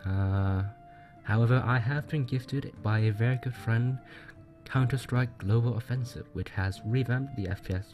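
At a moderate pace and with ordinary pitch variation, a man talks over music in the background. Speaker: gaming channel host. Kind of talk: casual talk to camera.

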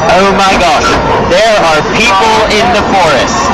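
With music in the background, a man talks at a fairly slow pace with ordinary pitch variation. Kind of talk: joking commentary. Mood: mock dramatic, amused. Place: train. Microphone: phone near.

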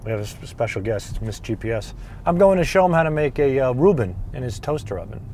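A man's voice swings very widely in pitch, with a dry sound, no echo and light background noise. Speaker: cooking show host. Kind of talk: casual vlog chat. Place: car. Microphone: lapel.

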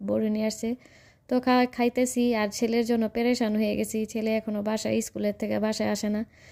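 On a very clean recording with a silent background, a woman speaks in a monotone, flat delivery, her pitch fairly high and her tone dark and mellow. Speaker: lifestyle vlogger. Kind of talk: vlog narration. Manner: casual conversational.

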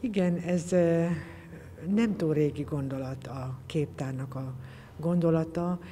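A woman's very deep, low voice at a very slow pace over light background noise. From Hungary, Balmazújváros (Great Plain); Hungary. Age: 60s. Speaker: textile artist. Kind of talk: interview. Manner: halting. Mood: reflective, warm. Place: hall.

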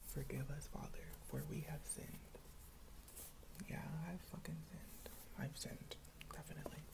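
A man speaking with long, frequent pauses over noticeable background noise. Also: moderate pace. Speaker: ASMR creator. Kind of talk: ASMR video, casual talk to camera. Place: home room. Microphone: earbuds.

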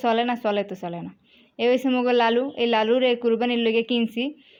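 A woman speaks with a Barisal accent at a high pitch. Her intonation is flat and monotone. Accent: Barisal regional dialect. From Barisal, Bangladesh. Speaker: lifestyle vlogger. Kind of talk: casual travel vlog narration. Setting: outdoors by a river, travelling.

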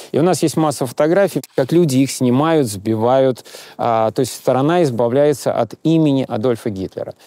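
The man's tone is dark and mellow, and he talks at a moderate pace. The sound is dry with no echo. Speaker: historian guide. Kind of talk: interview answer. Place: street.

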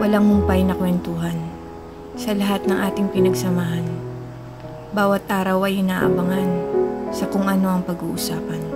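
A woman at a moderate pace with long, frequent pauses, music in the background. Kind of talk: spoken word poetry.

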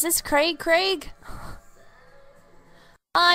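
The voice is quiet. Its tone is slightly mellow. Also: woman.

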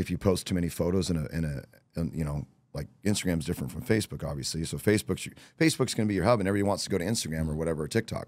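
The voice races along at a very fast pace with vocal fry. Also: man, very deep, low pitch for a man, ordinary pitch variation, dry sound with no echo. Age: 40s. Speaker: real estate coach. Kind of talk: casual interview chat. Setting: podcast recorded during bike week. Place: studio. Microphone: studio mic.

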